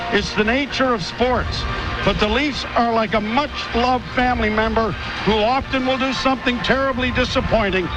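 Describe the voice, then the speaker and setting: A man's extremely high-pitched voice at a moderate pace, fairly even in intonation, with music in the background. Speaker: radio play-by-play announcer. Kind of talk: farewell speech on radio broadcast. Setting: press box broadcast booth.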